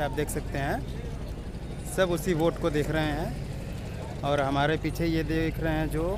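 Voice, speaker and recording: A man's voice comes through with a dry sound and no echo, over noticeable background noise. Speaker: vlogger. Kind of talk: casual vlog chat. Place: waterside. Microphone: phone near.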